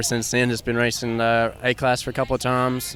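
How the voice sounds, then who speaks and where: Speaking with an East Tennessee accent, a man keeps a medium pitch and a fairly quick pace. Background noise is noticeable. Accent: East Tennessee Southern US. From Tennessee, Bulls Gap. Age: 20s. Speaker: ATV motocross racer. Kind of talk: interview. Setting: outdoors at a motocross park.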